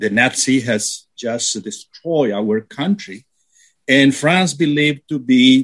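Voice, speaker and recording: Lively intonation marks this very slow delivery in a Spanish accent. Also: man. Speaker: radio panelist, philosopher. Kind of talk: radio panel discussion.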